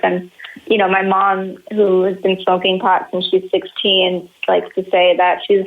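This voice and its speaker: With an American accent, a woman of medium pitch talks at a moderate pace over noticeable background noise. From Los Angeles, US. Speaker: cannabis journalist. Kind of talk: interview. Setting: podcast interview.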